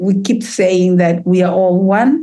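With a dark, mellow tone, a woman speaks at a fairly slow pace, her medium pitch showing ordinary variation. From Tanzania, Kilimanjaro region. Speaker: healer and trauma therapist. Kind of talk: casual chat, community conversation. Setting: video call. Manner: animated, lively.

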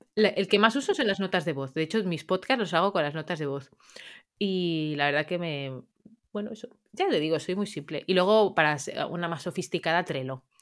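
A woman with a plain, everyday voice, fairly low in pitch, at a fairly quick pace with lively intonation, on a very clean recording with a silent background. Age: 30s. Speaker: dog trainer. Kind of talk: interview.

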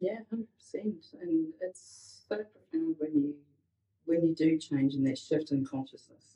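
Dark, mellow tone with ordinary pitch variation at a moderate pace. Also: woman. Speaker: podcast co-host and healer. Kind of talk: podcast discussion.

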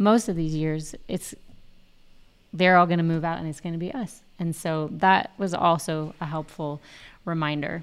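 On a very clean recording with a silent background, a woman with a normal speaking voice and fairly low pitch speaks at a moderate pace with fairly even intonation. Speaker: podcast co-host. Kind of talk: casual chat.

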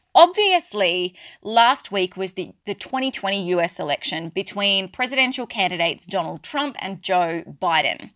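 In a very clean recording with a silent background, a woman with an Australian accent speaks at medium pitch and a moderate pace, her intonation lively and hardly any pauses. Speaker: spiritual business coach and podcast host. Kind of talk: solo podcast monologue.

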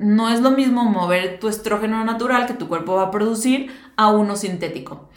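A woman's fairly high pitch with ordinary variation, a moderate pace, and audible room echo. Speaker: nutritionist podcast host. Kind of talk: solo educational talk.

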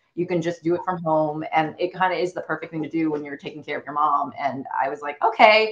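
A woman with a fairly low pitch talks at a very fast pace with hardly any pauses and ordinary pitch variation. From China. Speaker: screenwriter and producer. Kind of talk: interview.

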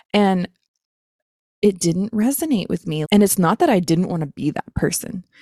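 A dark, mellow tone with ordinary pitch variation and a dry, close sound free of echo. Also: woman. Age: 30s. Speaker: podcast host and online business coach. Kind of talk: unscripted solo podcast monologue. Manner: casual, frequent laughter.

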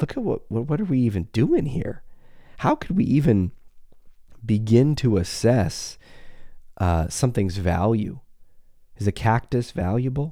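The speech is fairly slow, with long, frequent pauses and lively intonation in an animated tone. The recording is very clean, with a silent background. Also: man, medium pitch for a man. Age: 40s. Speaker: psychologist podcast host. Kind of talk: casual monologue. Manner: conversational, animated.

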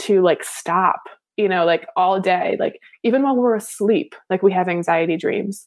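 In an American accent, a woman speaks at a fairly quick pace with ordinary pitch variation. She has an ordinary speaking voice. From US, suburban Philadelphia, Pennsylvania. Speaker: former pro soccer player, meditation coach. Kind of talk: interview.

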